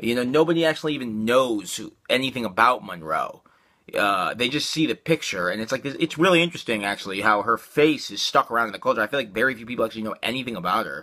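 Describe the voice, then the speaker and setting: A man's medium-pitched voice with lively intonation at a very fast pace, on a very clean recording with a silent background. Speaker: video blogger. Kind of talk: casual monologue. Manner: rambling with many fillers.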